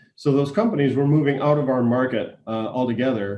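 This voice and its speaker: A man talks with fairly even intonation. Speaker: economic development director. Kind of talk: webinar presentation. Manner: fast.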